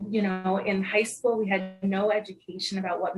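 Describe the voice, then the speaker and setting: Moderate-paced female speech over background music. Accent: American. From New Jersey. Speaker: mental health peer specialist and trainer. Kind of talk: interview.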